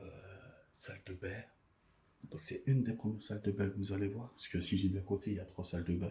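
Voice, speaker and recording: Soft-spoken and somewhat breathy, a man talks at a fairly quick pace in a dark, mellow tone with fairly even intonation and long, frequent pauses. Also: fairly low pitch for a man. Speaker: urban exploration vlogger. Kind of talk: exploration vlog narration. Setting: inside an abandoned house. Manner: speaking softly.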